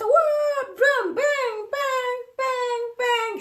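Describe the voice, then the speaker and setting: The voice is a put-on character voice at an extremely high pitch. It sounds squeaky. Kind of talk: sing-song, dramatic. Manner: exaggerated, bouncy, playful.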